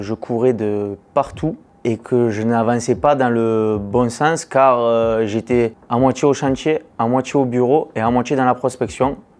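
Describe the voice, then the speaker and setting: At a fairly slow pace, a man talks with fairly even intonation. His pitch is medium. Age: 20s. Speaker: construction business owner. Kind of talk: testimony. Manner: hesitant, many fillers.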